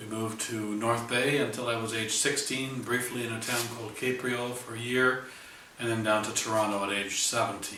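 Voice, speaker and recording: With a Canadian accent, a man speaks at a moderate pace and medium pitch in a monotone, flat delivery, with noticeable background noise and audible room echo. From Ontario, Canada. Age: 60s. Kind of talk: testimony. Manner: halting, many fillers.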